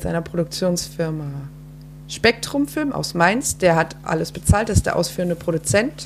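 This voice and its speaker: Fairly slow speech from a woman, noticeable background noise underneath. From Frankfurt, Germany. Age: 20s. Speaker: filmmaker. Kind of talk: casual interview. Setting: at home.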